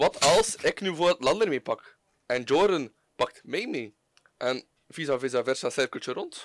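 At a moderate pace, a man with a Flemish accent and a fairly high pitch speaks with lively intonation in a dry, close sound with no echo. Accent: Flemish Dutch. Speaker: podcast co-host. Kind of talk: casual chat.

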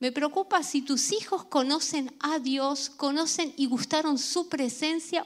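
A woman's high-pitched voice at a very slow pace, with ordinary pitch variation and very even loudness. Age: 50s. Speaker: pastor. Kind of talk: sermon.

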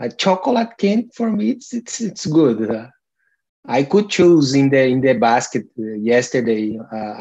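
Speaking at a fairly slow pace, this man has a Portuguese accent. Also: quiet background. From Brazil (Brasilia, Amazon region). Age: 40s. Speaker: language learner in conversation group. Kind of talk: casual chat. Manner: halting.

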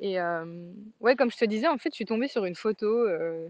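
A woman speaks at a moderate pace and a medium pitch, in a dry, close sound with no echo. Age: 30s. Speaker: life coach and podcaster. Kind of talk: casual monologue. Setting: outdoors by a fjord in Denmark. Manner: hesitant, many fillers.

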